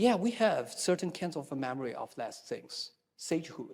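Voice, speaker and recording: In a very clean recording with a silent background, a man speaks with a Chinese accent. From China. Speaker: Taoism scholar. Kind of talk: panel discussion. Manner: halting, many fillers and repetitions.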